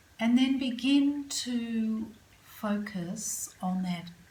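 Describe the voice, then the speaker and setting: Over noticeable background noise, a woman talks in a calm, soothing tone. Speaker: yoga nidra and meditation guide. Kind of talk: guided relaxation / yoga nidra. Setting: yoga studio. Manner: calm, slow, soothing.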